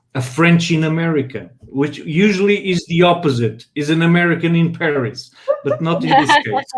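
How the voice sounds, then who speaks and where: Speaking in a Portuguese accent, a man uses a fairly high pitch with ordinary variation at a moderate pace. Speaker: live stream host. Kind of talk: live panel interview. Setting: online live stream. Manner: halting.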